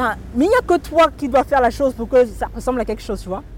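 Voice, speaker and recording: Talking very fast, a woman with a fairly high pitch uses lively intonation and vocal fry. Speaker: author and humorist. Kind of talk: interview. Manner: halting, frequent repetitions. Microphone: crackling interference in recording.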